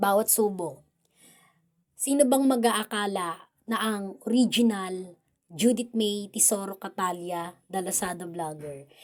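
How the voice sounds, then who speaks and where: Very slowly, a woman speaks at a medium pitch with ordinary pitch variation. The recording is very clean, with a silent background. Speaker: vlogger. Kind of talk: casual vlog narration. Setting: at home, bedroom with electric fan.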